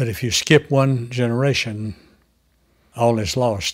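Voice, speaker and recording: A man with a medium-pitched voice speaks with fairly even intonation and a somewhat breathy quality. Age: 70s. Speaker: farmer and author. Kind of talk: interview testimony.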